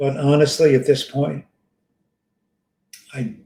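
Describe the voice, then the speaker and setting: Somewhat breathy and fairly high in pitch, a man talks at a very slow pace with ordinary pitch variation. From Greece. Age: 60s. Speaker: environmental consultant and content creator. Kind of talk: casual interview chat.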